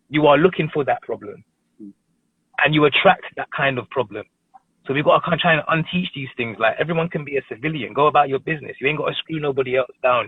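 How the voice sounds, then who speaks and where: Here a man speaks with a London accent. His pace is very fast, with ordinary pitch variation. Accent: London multicultural English. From northwest London. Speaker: TV presenter. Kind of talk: casual chat. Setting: live stream.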